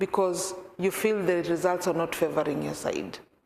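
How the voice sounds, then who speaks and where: A woman with a Kenyan accent at a moderate pace. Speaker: peace worker and programs officer. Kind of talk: talk to a church congregation. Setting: church meeting, some on video call.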